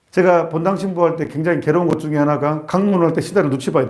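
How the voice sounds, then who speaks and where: A man with a fairly high pitch talks at a fairly quick pace with ordinary pitch variation. There is audible room echo. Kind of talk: sermon. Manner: fast; animated.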